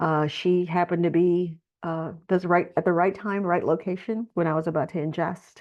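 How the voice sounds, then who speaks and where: A woman's normal speaking voice with an American accent, fairly low in pitch, at a moderate pace. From Texas. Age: 60s. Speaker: nonprofit leader. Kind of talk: testimony.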